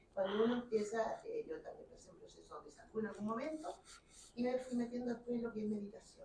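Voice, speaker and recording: A woman speaks very fast with a dark, mellow tone and fairly high pitch. Her pitch varies in an ordinary way, while her loudness swings widely. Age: 60s. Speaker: audience member. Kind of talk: book launch conversation.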